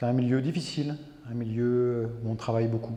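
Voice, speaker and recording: The man's voice has a dark, mellow tone at medium pitch, delivered at a fairly slow pace in a monotone, flat intonation. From France, rural farming background. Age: 60s. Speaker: photographer, retired army officer. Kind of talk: interview. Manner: hesitant, many fillers.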